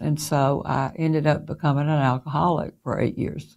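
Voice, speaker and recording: A dark, mellow voice with a Southern US accent, recorded very cleanly against a silent background. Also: woman. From US South, Mississippi. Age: 70s. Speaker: interviewee sharing spiritual experiences. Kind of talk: personal testimony. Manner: hesitant with frequent fillers.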